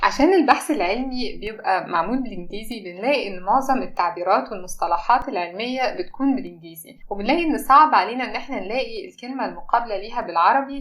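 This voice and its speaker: A woman's fairly high voice with lively intonation, a fairly quick pace, hardly any pauses, and audible room echo. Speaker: pharmacy lecturer and podcast co-host. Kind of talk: scripted introduction.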